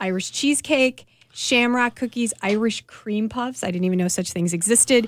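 A woman with a Milwaukee accent and fairly high pitch, at a moderate pace, on a very clean recording with a silent background. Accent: Midwestern Milwaukee. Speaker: food writer. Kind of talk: casual chat.

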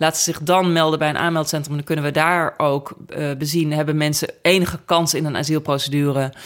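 In a very deep, low voice, a woman talks fairly quickly with hardly any pauses. Her intonation is flat and monotone. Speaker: politician. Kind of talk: interview.

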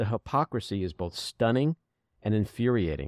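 On a very clean, dry and close recording with no echo and a silent background, a man speaks at a moderate pace with vocal fry. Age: 60s. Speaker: podcast host. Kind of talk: casual chat.

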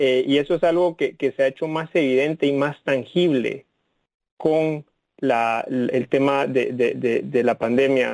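A man with a normal speaking voice and a fairly high pitch talks at a fairly slow pace, with fairly even intonation and very even loudness. The sound is dry and close, with no echo. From Guatemala (Guatemala City). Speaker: tech company executive. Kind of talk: interview.

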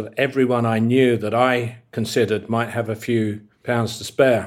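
A man talks at a moderate speed with a mid-range pitch, captured on a very clean recording against a silent background. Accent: British. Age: 60s. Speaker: hotelier and founder. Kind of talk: interview. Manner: hesitant, filler-heavy.

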